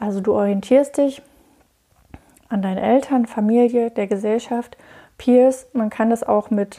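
The woman's voice has a dark, mellow tone yet sits at a fairly high pitch. She talks at a fairly slow pace with monotone, flat intonation. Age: 30s. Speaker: podcast host and coach. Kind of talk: solo podcast monologue.

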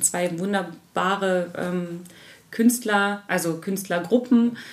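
Intonation stays fairly even in a woman's voice. She talks very slowly. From Harz region, Lower Saxony, Germany. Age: 30s. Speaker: hotel and restaurant owner. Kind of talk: interview. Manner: hesitant, many fillers.

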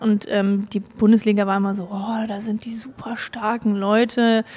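Her voice is fairly high for a woman but delivered in a monotone, flat intonation. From Germany, Hamburg. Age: 20s. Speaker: pediatric nurse and amateur boulderer. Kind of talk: interview, casual personal account. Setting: recorded in Hamburg.

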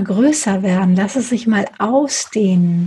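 A woman's fairly high voice sounds gentle and soothing, somewhat breathy. Her pitch varies in an ordinary way. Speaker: meditation guide. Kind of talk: guided meditation. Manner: slow, soft, soothing; gentle, unhurried pacing with pauses.

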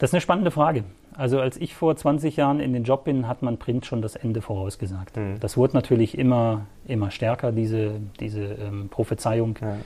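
Somewhat breathy and dark, mellow in tone, a man talks at a fairly quick pace and medium pitch with ordinary pitch variation. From northern Germany, rural Lower Saxony between Hamburg and Bremen. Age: 40s. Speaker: local sports journalist. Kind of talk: casual interview.

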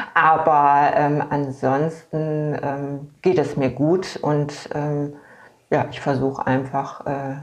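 Audible room echo surrounds a woman whose very deep, low pitch comes with monotone, flat intonation. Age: 50s. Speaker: patient with multiple sclerosis. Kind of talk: casual interview. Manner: halting, many fillers.

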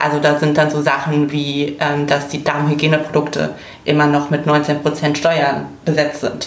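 With a very deep, low pitch and a monotone, flat intonation, a woman speaks at a fairly slow pace over noticeable background noise. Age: 20s. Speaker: political volunteer from fashion industry. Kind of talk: casual chat.

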